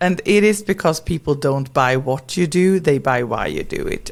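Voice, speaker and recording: A Swedish accent with lively intonation. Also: woman. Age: 40s. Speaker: brand strategist and educator. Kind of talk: podcast interview.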